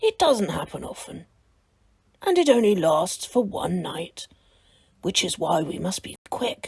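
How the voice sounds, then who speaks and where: A woman uses a put-on character voice at a medium pitch. She goes at a fairly slow pace with long, frequent pauses. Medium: read story.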